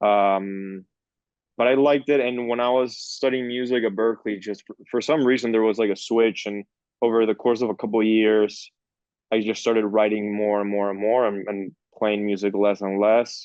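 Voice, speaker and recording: A man speaks at a moderate pace with a Spanish accent. His pitch sits fairly low, and his intonation stays fairly even. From Peru (Lima), then Miami from age 14. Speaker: film director. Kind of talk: interview. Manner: halting, many fillers and restarts.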